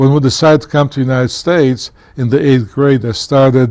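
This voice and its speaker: Speaking with a Polish accent, a man uses a dark, mellow tone at a medium pitch, keeping a moderate pace and ordinary pitch variation. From Poland, then England, then Pennsylvania. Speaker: former county commissioner and author. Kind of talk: interview storytelling. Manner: halting, many fillers.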